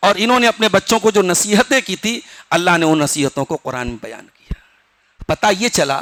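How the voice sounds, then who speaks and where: In a raised, projected voice, a man speaks at a high pitch with lively intonation, the sound dry and close with no echo. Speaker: Islamic scholar giving Quran commentary. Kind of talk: Quran tafseer sermon.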